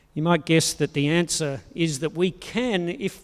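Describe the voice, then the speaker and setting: With an Australian accent, a man speaks at a moderate pace and a high pitch with ordinary variation in a very clean recording with a silent background. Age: 60s. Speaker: pastor. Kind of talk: sermon.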